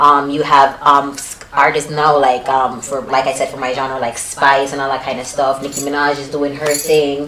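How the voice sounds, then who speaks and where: With noticeable background noise and audible room echo, a woman speaks at a moderate pace in a very deep, low pitch, her intonation monotone and flat, her loudness swinging widely, and hardly any pauses. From Jamaica. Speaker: dancehall artist. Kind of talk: interview. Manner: casual, many fillers.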